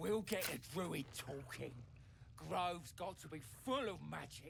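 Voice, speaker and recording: A man performs a put-on character voice at a fairly high pitch and a fairly slow pace. Clear background noise runs behind him. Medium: video game. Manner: curt, bossy.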